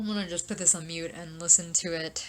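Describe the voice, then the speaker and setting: A woman talks at a very fast pace with a fairly low pitch. Noticeable background noise runs underneath. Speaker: YouTuber, K-pop fan. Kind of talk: casual reaction talk. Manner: rambling, hesitant with fillers.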